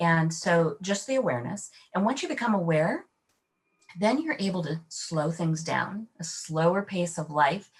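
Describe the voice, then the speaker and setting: At a fairly slow pace, a woman talks at a fairly low pitch in an ordinary speaking voice. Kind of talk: podcast interview.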